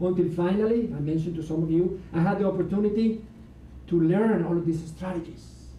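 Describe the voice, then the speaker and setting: Audible room echo carries a man's dark, mellow tone. He speaks at a fairly quick pace with ordinary pitch variation. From Latin America. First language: Spanish. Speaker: motivational speaker. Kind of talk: seminar talk. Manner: animated.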